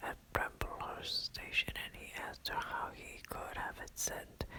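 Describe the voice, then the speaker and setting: A man whispers in a gentle tone at a fairly slow pace, with noticeable background noise. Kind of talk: ASMR audiobook reading. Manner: whispered, soft, gentle.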